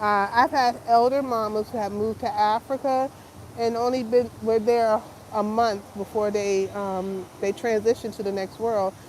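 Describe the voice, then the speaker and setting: Fairly slow and fairly even in intonation, a woman speaks with a fairly high pitch. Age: 50s. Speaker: lifestyle vlogger. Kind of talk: casual live-stream vlog. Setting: live stream. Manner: hesitant, many fillers.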